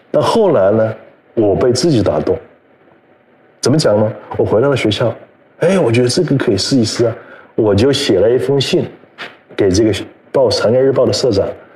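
Noticeable background noise sits behind a man talking at a fairly quick pace. He leaves long, frequent pauses, and his loudness stays very even. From China, Hubei (Yichang). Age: 50s. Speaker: magazine editor-in-chief. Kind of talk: live-streamed conversation. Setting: online livestream, seated beside host.

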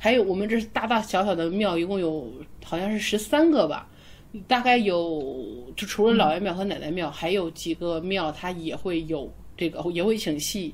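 A woman speaks in an unremarkable speaking voice, medium in pitch, with ordinary pitch variation and a moderate pace. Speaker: podcast host. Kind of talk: casual chat.

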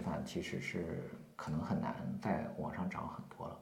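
A man talks moderately fast in a room with audible echo and noticeable background noise. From rural China. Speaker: marketing consultant and company founder. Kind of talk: interview. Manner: hesitant, many fillers.

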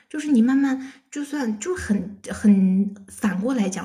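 A woman's fairly high voice, somewhat breathy, dark and mellow in tone, with ordinary pitch variation. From China. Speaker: bank auditor. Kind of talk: casual chat.

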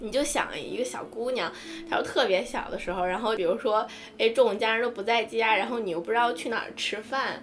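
With audible room echo, a woman speaks fairly quickly at a fairly high pitch with ordinary pitch variation. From small Chinese city. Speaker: podcast co-host. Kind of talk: casual chat.

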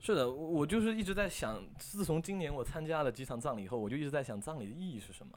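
Talking at a very fast pace with hardly any pauses, a man uses a fairly high pitch that swings very widely. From China, Fuzhou, Fujian. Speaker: university student filmmaker. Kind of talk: casual interview chat. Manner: animated.

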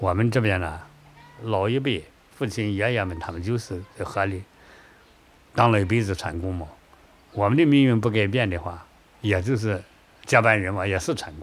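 With long, frequent pauses, a man speaks at a moderate pace in a fairly low voice with ordinary pitch variation. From southern Shaanxi (Yang County, Huangjin Gorge). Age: 60s. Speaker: retired river boatman. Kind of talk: interview testimony.

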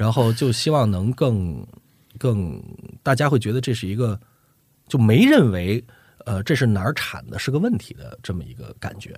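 A man's somewhat breathy, medium-pitched voice with lively intonation, a moderate pace, long and frequent pauses, big swings in loudness, and a very clean recording with a silent background. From northern China. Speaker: voice actor and dubbing director. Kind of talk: casual chat.

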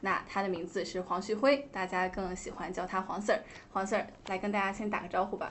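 Speaking at a fairly quick pace, a woman uses a normal speaking voice. Her pitch is medium. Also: fairly even intonation. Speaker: radio podcast host. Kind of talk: interview, host introduction. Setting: podcast studio.

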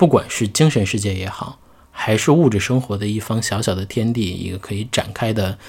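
The voice has a somewhat breathy quality. Its pace is moderate. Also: man. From Xi'an, China. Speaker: podcast host. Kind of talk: casual chat.

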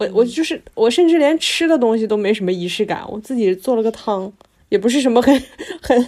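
A woman talks at a fairly quick pace with a fairly high pitch. Her tone is animated and her intonation lively. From Northeast China (Harbin). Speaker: podcast co-host. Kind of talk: casual chat.

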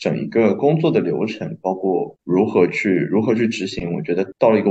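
Dark and mellow in tone, this man's voice is somewhat breathy. His pitch swings very widely as he talks at a fairly quick pace. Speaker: restaurant worker, former journalism student. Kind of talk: casual chat.

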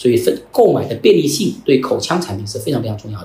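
A man at a very fast pace amid noticeable background noise and audible room echo. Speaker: company founder. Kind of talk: interview conversation.

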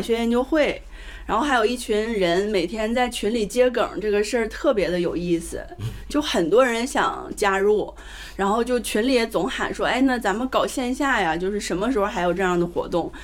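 A woman's fairly high voice with lively intonation at a moderate pace, over noticeable background noise. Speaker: event host. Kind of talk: casual live event chat. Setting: live event with audience.

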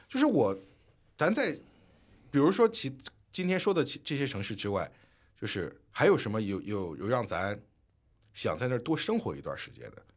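A medium-pitched man's voice with vocal fry and very wide pitch swings, at a moderate pace with long, frequent pauses, on a very clean recording with a silent background. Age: 30s. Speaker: podcast co-host, former finance worker. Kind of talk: casual chat.

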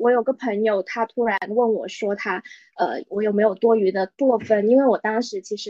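A woman's dark, mellow tone at a fairly quick pace, dry and close with no echo. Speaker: podcast co-host. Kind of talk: casual chat.

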